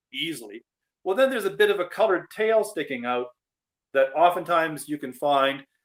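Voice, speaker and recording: Speaking at a fairly quick pace, a man uses a Canadian accent. His pitch is high and swings very widely. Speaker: senior disc golfer. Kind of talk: interview. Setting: video call. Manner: halting.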